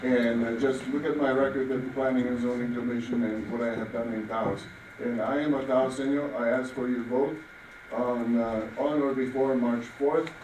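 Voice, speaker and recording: The speech moves at a moderate pace with monotone, flat intonation. Audible room echo and noticeable background noise fill the recording. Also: man, medium pitch for a man. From Czechoslovakia. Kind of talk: campaign closing statement. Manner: halting.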